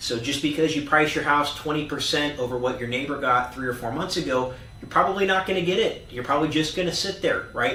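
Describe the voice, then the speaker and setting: With noticeable background noise and audible room echo, a man with a fairly high pitch and ordinary pitch variation talks at a fairly quick pace, hardly pausing at all. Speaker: real estate agent. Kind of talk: market update monologue. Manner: fast; animated.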